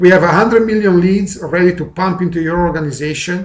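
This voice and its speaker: A man's high-pitched voice with a non-native accent, fairly quick pace and ordinary pitch variation. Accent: noticeable foreign. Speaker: network marketing presenter. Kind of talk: sales pitch. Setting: recorded webinar.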